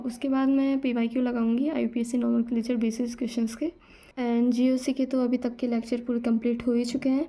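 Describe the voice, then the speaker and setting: A woman speaks at a moderate pace in a high pitch, her intonation monotone and flat and her tone dark and mellow. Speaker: student vlogger. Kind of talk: casual vlog update. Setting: at home, study desk.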